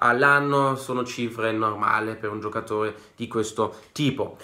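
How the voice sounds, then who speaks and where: Over a quiet background, a man talks in a bright, sharp tone. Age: 20s. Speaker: football YouTuber. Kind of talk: casual vlog monologue. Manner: animated. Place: home room. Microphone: phone near.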